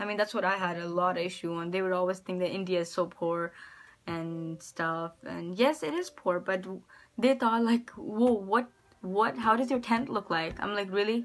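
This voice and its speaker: A woman at a moderate pace and medium pitch, with ordinary pitch variation, a normal speaking voice, on a very clean recording with a silent background. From United States. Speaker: vlogger. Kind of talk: personal vlog testimony. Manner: casual, with many fillers.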